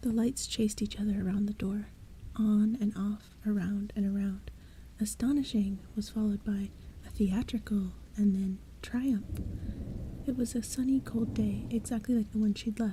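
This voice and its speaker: A soft-spoken woman's somewhat breathy voice at medium pitch, dark and mellow in tone, monotone and flat in intonation, very even in loudness, at a moderate pace. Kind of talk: bedtime story reading.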